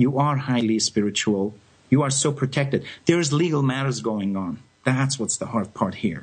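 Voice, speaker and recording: At a moderate pace, a man speaks in a somewhat breathy, medium-pitched voice with ordinary pitch variation. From France. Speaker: psychic medium radio host. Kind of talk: live call-in radio readings. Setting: live radio, phone calls.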